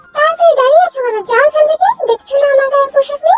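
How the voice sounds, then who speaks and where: A woman puts on a squeaky character voice at a fairly quick pace, the sound dry and close with no echo. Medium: audio drama. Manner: brusque.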